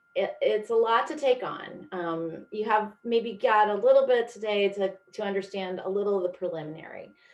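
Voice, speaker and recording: In an unremarkable speaking voice, a woman with an American accent talks at a moderate pace with hardly any pauses. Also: medium pitch for a woman, ordinary pitch variation. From US Midwest and Pacific Northwest. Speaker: product specialist presenter. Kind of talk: webinar presentation. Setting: video call.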